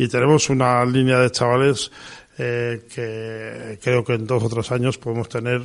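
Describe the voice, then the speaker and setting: This man talks fairly slowly with a pitch in the medium range. Fairly even intonation marks his delivery. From Pamplona, Navarre, Spain. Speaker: sports federation president. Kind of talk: radio interview. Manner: halting, many fillers.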